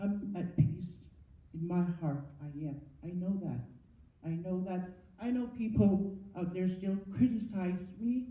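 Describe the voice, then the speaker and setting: A woman with a dark, mellow, somewhat breathy voice speaks at a fairly slow pace with ordinary pitch variation. Long, frequent pauses break up her speech, and audible room echo is present. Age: 70s. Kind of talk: testimony. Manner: halting, with repetitions.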